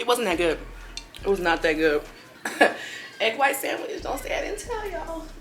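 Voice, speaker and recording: Noticeable background noise accompanies a woman talking at a moderate pace. Her pitch swings very widely, and her pauses are long and frequent. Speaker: lifestyle vlogger. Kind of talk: casual vlog talk. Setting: at home. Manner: speaking low.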